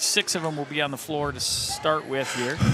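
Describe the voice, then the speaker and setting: A man speaks loudly. Noticeable background noise is present. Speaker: volleyball play-by-play announcer. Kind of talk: live sports commentary. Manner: animated.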